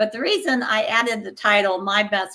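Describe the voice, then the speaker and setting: At a moderate pace, a woman speaks with a bright, sharp tone. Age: 60s. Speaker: empowerment speaker and coach. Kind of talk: podcast interview.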